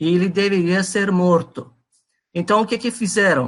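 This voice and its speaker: A man with a Persian accent speaks at a high pitch in a bright, sharp tone. His pitch varies in an ordinary way. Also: quiet background. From Iran. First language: Persian (speaking Portuguese). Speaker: presenter on religion. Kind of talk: lecture. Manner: halting, many fillers.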